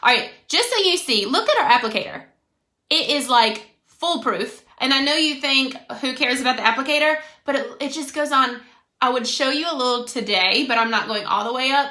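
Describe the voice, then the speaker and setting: The voice is raised and projected, with a bright, sharp tone and an American accent. It moves at a fairly quick pace with ordinary pitch variation. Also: woman, high pitch for a woman. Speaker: makeup brand consultant. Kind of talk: casual livestream makeup tutorial. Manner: loud; animated.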